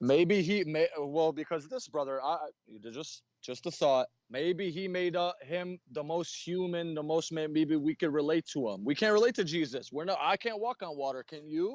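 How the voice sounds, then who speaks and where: This man has an unremarkable speaking voice, fairly high in pitch with ordinary pitch variation, at a moderate pace. The sound is dry and close with no echo. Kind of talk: live online debate. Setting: online call.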